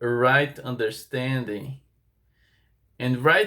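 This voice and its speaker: A very clean recording of a man speaking, the background silent. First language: not English. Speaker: bible teacher. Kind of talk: bible teaching monologue, partly read from notes. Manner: halting, with hesitations and restarts.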